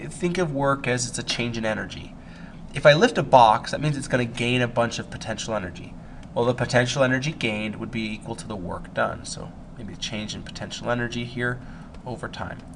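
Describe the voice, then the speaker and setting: This man has an unremarkable speaking voice at medium pitch, with ordinary pitch variation and a fairly quick pace. His loudness swings widely. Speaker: high school physics teacher. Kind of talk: recorded lesson, test review.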